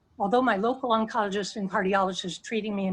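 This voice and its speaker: This woman's voice is somewhat breathy and medium in pitch. Her intonation stays fairly even. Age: 60s. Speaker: constituent sharing health story. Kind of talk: testimony. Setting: video call.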